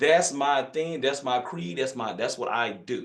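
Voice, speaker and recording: With a Louisiana accent, a man talks at a moderate pace in a fairly high pitch with ordinary pitch variation. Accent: Louisiana country accent, noticeable. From northern Louisiana, US South. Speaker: physician, hormone specialist. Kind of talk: online masterclass talk. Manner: casual, folksy.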